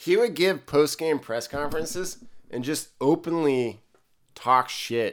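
A normal speaking voice from a man, fairly high in pitch, with lively intonation at a fairly slow pace, on a very clean recording with a silent background. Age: 30s. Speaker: sports podcast co-host. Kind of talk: casual chat.

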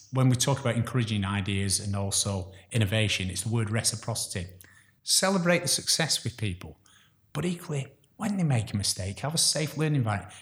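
Somewhat breathy speech at a fairly quick pace with lively intonation, on a very clean recording with a silent background. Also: man. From northern England (Chorley, Lancashire), born in Glasgow. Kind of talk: interview.

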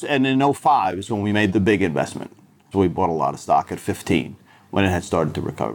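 A man's fairly low voice carries vocal fry and lively intonation. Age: 60s. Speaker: investment firm founder. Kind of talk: interview. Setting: office.

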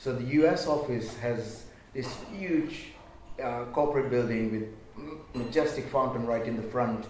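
Noticeable background noise and audible room echo around a man's medium-pitched voice, with ordinary pitch variation and a fairly slow pace. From Kenya, Indian roots, moved to Britain as a teenager. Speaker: video games industry veteran, freelancer. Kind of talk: panel discussion.

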